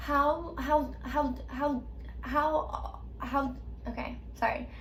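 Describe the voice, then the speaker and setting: A woman speaks at a very slow pace. Audible room echo and noticeable background noise fill the recording. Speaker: video creator who stutters. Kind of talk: casual chat. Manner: stutter with repetitions; halting.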